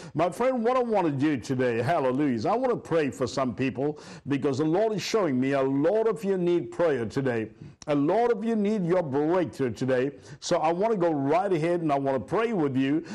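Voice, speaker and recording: A man at a fairly quick pace with very wide pitch swings, against a quiet background. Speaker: pastor. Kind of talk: sermon. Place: studio.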